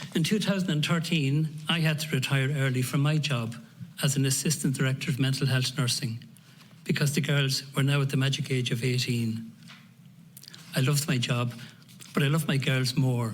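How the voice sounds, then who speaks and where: With an Irish accent, a man with a fairly high pitch and a somewhat breathy voice speaks at a moderate pace, with ordinary pitch variation, very even loudness, long, frequent pauses and audible room echo. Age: 60s. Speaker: family carer, retired nurse. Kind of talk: prepared testimony.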